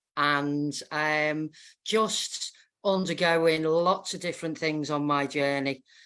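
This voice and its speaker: Speaking at a very slow pace in a Liverpool accent, a woman uses a very deep, low pitch and fairly even intonation in a very clean recording with a silent background. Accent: Scouse. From northern England, Wallasey, Wirral. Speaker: guest. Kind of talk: casual chat.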